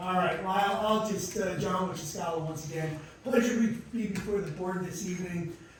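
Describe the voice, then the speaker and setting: A man talks at a fairly quick pace in a high voice with fairly even intonation, with audible room echo and noticeable background noise. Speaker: attorney. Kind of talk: formal presentation at public hearing. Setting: public board meeting room. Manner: loud; halting, many fillers.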